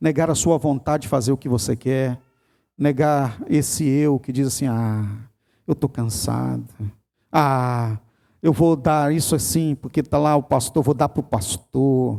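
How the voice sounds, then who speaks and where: A man talks at a medium pitch in a dark, mellow tone. His pitch varies in an ordinary way, and his pace is fairly slow. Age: 50s. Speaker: pastor. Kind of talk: sermon. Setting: church.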